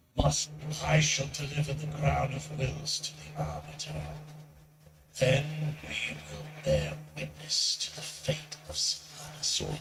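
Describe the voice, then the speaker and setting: Using a put-on character voice, a man talks at a fairly slow pace with long, frequent pauses. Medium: video game. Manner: grave, formal.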